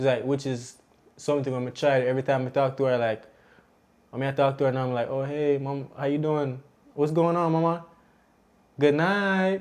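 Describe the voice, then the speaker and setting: In a Jamaican accent, a man speaks with a fairly high pitch and fairly even intonation. His speech has long, frequent pauses. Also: moderate pace. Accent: Jamaican, speaks patois. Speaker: podcast co-host and young parent. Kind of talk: casual chat.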